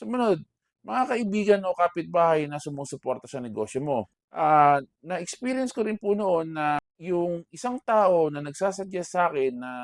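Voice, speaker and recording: With a dry, close sound and no echo, a man speaks at a moderate pace in a fairly high pitch, his pitch swinging very widely. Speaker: vlogger and bakery owner. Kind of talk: personal talk to camera. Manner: loud voice.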